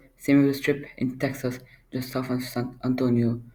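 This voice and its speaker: Monotone, flat intonation marks a man's medium-pitched speech at a moderate pace. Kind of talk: casual reaction commentary. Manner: hesitant, stuttering.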